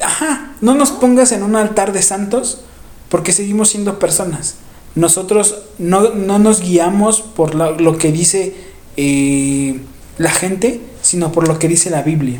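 A man's high-pitched, lively voice at a fairly slow pace, with audible room echo and noticeable background noise. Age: 30s. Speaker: podcast co-host. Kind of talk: casual chat.

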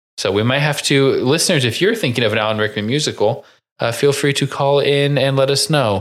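A man with a Midwestern American accent talks at a fairly quick clip, his pitch varying in an ordinary way. Background noise is noticeable. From Indiana, US Midwest. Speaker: podcast host. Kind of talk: casual chat.

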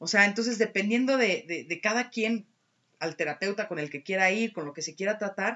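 A woman with lively intonation at a fairly quick pace. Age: 30s. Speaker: alternative therapist. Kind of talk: casual chat.

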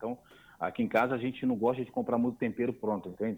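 A man's medium-pitched voice at a very fast pace. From Brazil, Niterói (Rio de Janeiro). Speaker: immigrant video creator. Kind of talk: casual chat.

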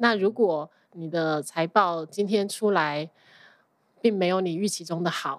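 A woman with a Taiwanese accent, fairly low-pitched with ordinary pitch variation, at a fairly slow pace on a very clean recording with a silent background. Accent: Taiwanese-accented Mandarin. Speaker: accountant. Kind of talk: casual interview chat. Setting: podcast interview.

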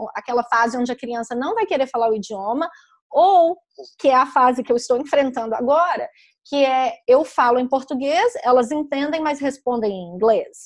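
This woman speaks at a high pitch with ordinary pitch variation. Her pace is moderate. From Brazil, Belo Horizonte (Minas Gerais). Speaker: children's book author and publisher. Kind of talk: interview.

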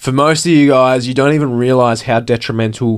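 A man with an Australian accent at a fairly quick pace, ordinary pitch variation, very clean recording with a silent background. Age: 20s. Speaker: podcast host. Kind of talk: motivational monologue.

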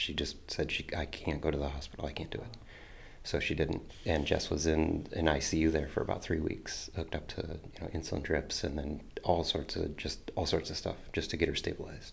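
A man with a Midwestern US accent speaks at a fairly quick pace with a very deep, low pitch and a somewhat breathy voice. His intonation is monotone and flat, and audible room echo surrounds him. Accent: US Midwest. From Toledo, Ohio. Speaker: storyteller sharing faith journey. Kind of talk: testimony.

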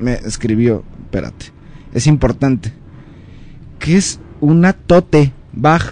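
A man of medium pitch speaks at a very slow pace, leaving long, frequent pauses. His intonation is lively. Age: 30s. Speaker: history commentator. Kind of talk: casual chat. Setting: live radio studio.

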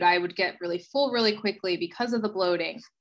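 This is a woman with an American accent and a normal speaking voice. Her pitch is medium, and the background is quiet. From US, South Jersey. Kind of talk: interview, personal illness story.

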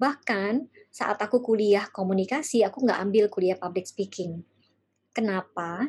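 A somewhat breathy woman at a fairly slow pace. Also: medium pitch for a woman, ordinary pitch variation. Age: 40s. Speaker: life coach. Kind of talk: workshop talk.

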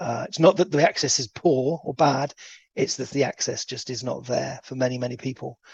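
Somewhat breathy voice in an English accent, fairly quick pace, ordinary pitch variation, dry and close with no echo. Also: man, medium pitch for a man. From England. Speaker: anti-slavery charity worker. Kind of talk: interview.

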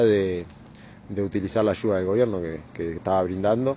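The speaker has a Uruguayan accent. Noticeable noise runs in the background. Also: man. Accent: Uruguayan Rioplatense Spanish. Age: 30s. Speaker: unemployed market porter. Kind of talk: personal testimony interview. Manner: halting, with repetitions and fillers.

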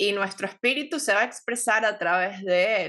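Here a woman speaks at a medium pitch and a fairly slow pace. The background is quiet. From Venezuela. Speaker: podcast host, astrology and wellness. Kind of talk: casual interview chat. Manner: animated.

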